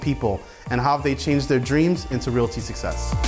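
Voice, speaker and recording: Over music in the background, a man talks at a fairly quick pace and a medium pitch. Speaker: real estate podcast host. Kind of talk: show intro to camera.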